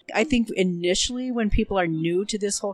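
A woman in a normal speaking voice talks at a fairly quick pace and medium pitch with lively intonation, the sound dry and close with no echo. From Minnesota, US. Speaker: diabetes nurse educator. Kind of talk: casual interview. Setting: recorded live at a conference.

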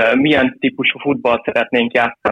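At a moderate pace, a man talks at a medium pitch. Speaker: youth football goalkeeper coach. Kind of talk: interview. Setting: phone call. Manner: halting. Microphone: phone line.

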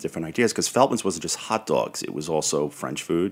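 A man with a Brooklyn accent talks at a very fast clip, his intonation lively. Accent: New York (Brooklyn). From Brooklyn, New York. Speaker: historian and entrepreneur. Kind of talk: interview.

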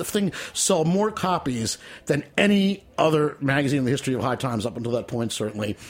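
With noticeable noise behind him, a man talks in a fairly high voice, his intonation lively. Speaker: memoirist performing excerpts. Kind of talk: reading aloud from memoir. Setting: studio.

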